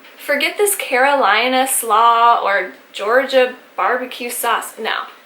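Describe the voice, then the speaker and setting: A woman with an American accent, high in pitch, very slow and lively in intonation, over noticeable background noise. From Texas. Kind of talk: casual talk to camera.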